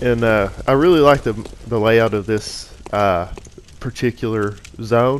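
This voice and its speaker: A man with an American accent, medium-pitched, fairly even in intonation and fairly slow, with noticeable background noise. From US South. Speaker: gaming commentator. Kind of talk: gameplay commentary. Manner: casual, relaxed.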